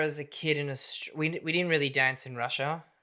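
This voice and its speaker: A man's bright, sharp-toned voice in a very clean recording with a silent background. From Australia, born in Belarus. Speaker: professional ballroom dancer. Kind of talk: casual chat interview.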